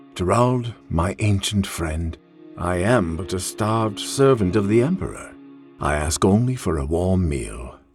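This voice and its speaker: Over faint music in the background, a man does a put-on character voice with a very deep, low pitch at a moderate pace. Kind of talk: audio drama character performance.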